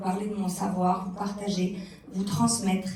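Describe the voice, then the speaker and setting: Over noticeable background noise and audible room echo, a woman speaks at a medium pitch. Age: 30s. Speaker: content creator and speaker. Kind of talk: conference talk. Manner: hesitant, many fillers.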